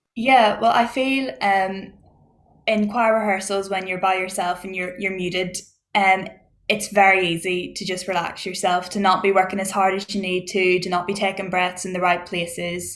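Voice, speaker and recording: With a Northern Irish accent, a woman talks in a monotone, flat intonation. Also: medium pitch for a woman, moderate pace. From Northern Ireland. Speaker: choir singer. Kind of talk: online panel discussion.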